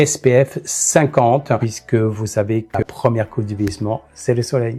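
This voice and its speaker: A man talks at a moderate pace. He has an ordinary speaking voice at a medium pitch. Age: 60s. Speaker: makeup artist. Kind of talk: interview monologue.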